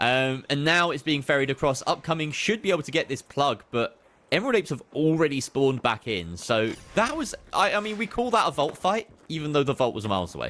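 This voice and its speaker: Music plays in the background as a man talks in a British accent, fairly high in pitch and at a fairly quick pace. His tone is animated, with very wide pitch swings. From Britain. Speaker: esports caster. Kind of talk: live commentary.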